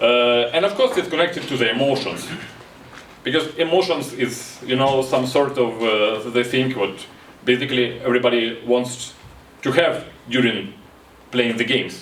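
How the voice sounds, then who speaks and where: With a Ukrainian accent, a man speaks at a moderate pace and medium pitch with ordinary pitch variation, amid audible room echo and noticeable background noise. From Ukraine. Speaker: board game designer. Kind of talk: conference talk. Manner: halting.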